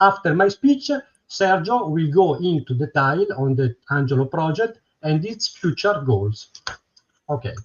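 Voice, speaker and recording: A man with an Italian accent, fairly high in pitch, at a fairly slow pace with very wide pitch swings. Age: 60s. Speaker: retired electronics technician. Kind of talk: prepared presentation.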